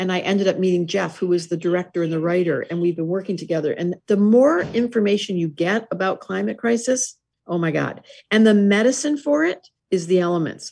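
A woman with a plain, everyday voice speaks at medium pitch with lively intonation. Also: fairly quick pace. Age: 60s. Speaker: astrologer and author. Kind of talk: interview.

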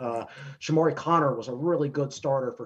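This voice has an American accent. It sounds somewhat breathy. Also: man. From Virginia, Danville. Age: 30s. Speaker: sports writer and analyst. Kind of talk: podcast interview.

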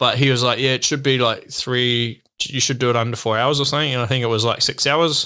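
With a New Zealand accent, a man talks at a fairly quick pace in a bright, sharp tone, his loudness very even and his intonation monotone and flat. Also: medium pitch for a man. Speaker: professional mountain bike racer. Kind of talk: casual interview chat. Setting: in person, UK. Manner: hesitant, many fillers.

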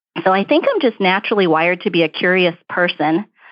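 A fairly quick woman's voice in an American accent, fairly low in pitch, an ordinary speaking voice. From Brooklyn, New York. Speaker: diversity director at an accounting firm. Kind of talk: interview answers, professional conversation.

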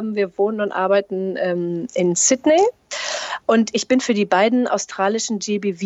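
A woman's voice at medium pitch, moderate pace and ordinary pitch variation. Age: 40s. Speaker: bank employee. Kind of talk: interview. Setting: long-distance call. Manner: hesitant with many fillers.

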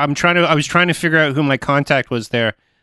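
Over a quiet background, a man talks at a very fast pace with a fairly high pitch, fairly even intonation and a bright, sharp tone. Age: 50s. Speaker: podcast host, musician. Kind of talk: casual interview chat.

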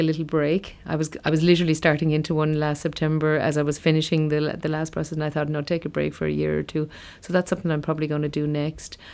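In a very clean recording with a silent background, a woman with a Limerick accent talks very fast in a very deep, low pitch and a monotone, flat delivery. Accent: Irish (Limerick). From Ireland, County Limerick. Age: 40s. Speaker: company managing director. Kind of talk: interview.

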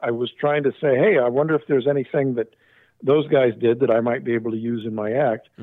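At a fairly quick pace, a speaker with an American accent talks with ordinary pitch variation. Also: man. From Southern California. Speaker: magician. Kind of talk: casual chat. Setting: phone call.

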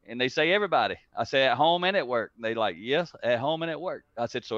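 Very fast and with lively intonation, a man speaks at a medium pitch in a Southern US accent. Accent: country (rural Southern US). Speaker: leadership speaker and author. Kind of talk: interview.

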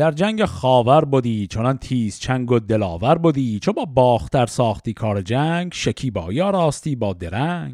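On a very clean recording with a silent background, a man with a dark, mellow tone and medium pitch talks at a moderate pace with very wide pitch swings and hardly any pauses. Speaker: Shahnameh reading podcast host. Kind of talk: reading aloud classical poetry with commentary.

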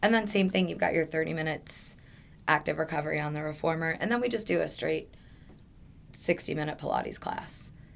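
With an American accent and vocal fry, a woman speaks at a fairly quick pace in a very deep, low pitch with ordinary pitch variation. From New York. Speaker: fitness trainer and Pilates teacher. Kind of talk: casual interview chat.

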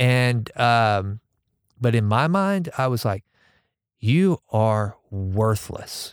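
Lively intonation at a very slow pace, with long, frequent pauses and very even loudness, in a dry, close sound with no echo on a very clean recording with a silent background. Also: man, medium pitch for a man. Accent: American. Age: 40s. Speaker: podcast host. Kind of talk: casual interview chat. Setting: studio.

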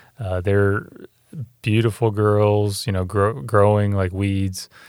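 Very slowly and in a flat monotone, a man speaks with an American accent at a fairly low pitch. The recording is very clean, with a silent background. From North Carolina and Virginia. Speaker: hospital CEO. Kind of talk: interview.

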